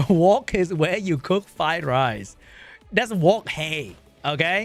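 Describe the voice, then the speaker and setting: Animated, high-pitched man with a Vietnamese accent, music in the background. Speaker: gaming streamer. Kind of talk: casual livestream chat.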